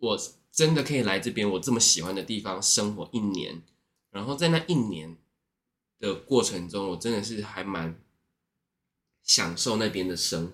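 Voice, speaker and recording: Speaking at a moderate pace, a man with a fairly low voice uses lively intonation and takes long, frequent pauses. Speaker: former service worker, Japanese speaker. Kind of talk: casual interview chat. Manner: polite, deferential-sounding tone.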